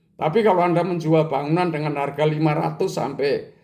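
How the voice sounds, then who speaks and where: A man with a dark, mellow tone keeps his intonation fairly even while audible room echo surrounds him. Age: 70s. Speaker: business educator, retired entrepreneur. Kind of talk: lecture.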